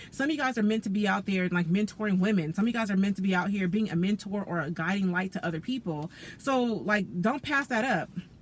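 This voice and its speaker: A woman talking at a very fast pace with hardly any pauses, very even loudness, ordinary pitch variation and noticeable background noise. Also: medium pitch for a woman. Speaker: tarot reader. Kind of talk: tarot reading monologue. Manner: casual, conversational with many fillers; self-described stuttering.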